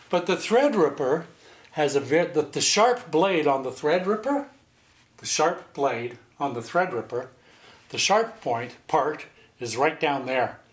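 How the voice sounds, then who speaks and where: A plain, everyday voice at a moderate pace. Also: man, big swings in loudness. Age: 60s. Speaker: home sewist. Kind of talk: casual sewing tutorial talk to camera. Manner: folksy, chatty, rambling.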